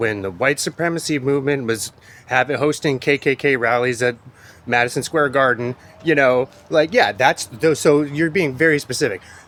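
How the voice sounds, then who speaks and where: A man with an American accent, medium pitch and a fairly quick pace. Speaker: poet and podcaster. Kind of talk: casual monologue. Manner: animated.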